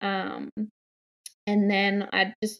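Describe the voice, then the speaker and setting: A woman speaks with an Australian accent in a dry, close recording that has no echo. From Australia, New South Wales. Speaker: mother and parenting blogger. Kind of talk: interview.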